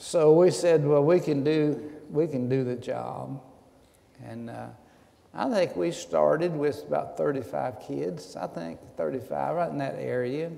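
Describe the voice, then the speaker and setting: Spoken with an East Tennessee accent at a fairly slow pace, the voice swings a lot in loudness, with audible room echo. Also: man. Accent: Southern US (East Tennessee). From US South. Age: 70s. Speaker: retired pastor. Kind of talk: interview. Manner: halting.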